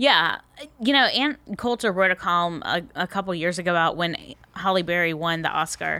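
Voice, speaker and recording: This woman's voice sits fairly low and has a bright, sharp tone. Her intonation is lively, and she keeps a moderate pace. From US South, Tallahassee, Florida. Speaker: political consultant and columnist. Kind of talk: casual interview chat. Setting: comedy club studio.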